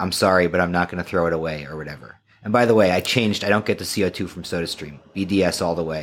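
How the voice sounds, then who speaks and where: Very fast and with hardly any pauses, a man with an American accent speaks in a very deep, low pitch with ordinary pitch variation. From New York suburbs. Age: 30s. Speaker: writer and podcaster. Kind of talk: casual chat. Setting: studio.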